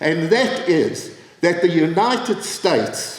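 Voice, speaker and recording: A high-pitched male voice against noticeable background noise. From South Africa. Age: 80s+. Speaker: former government minister and activist. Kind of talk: political speech.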